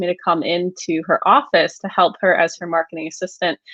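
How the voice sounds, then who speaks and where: A woman with an unremarkable speaking voice, medium pitch and an American accent at a fairly quick pace. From United States. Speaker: agency founder, copywriter. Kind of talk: podcast interview.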